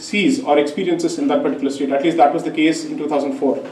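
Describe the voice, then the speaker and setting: A man with a Tamil accent speaks high-pitched and with lively intonation. Audible room echo and noticeable background noise surround him. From India. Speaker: lawyer. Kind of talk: public talk. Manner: formal.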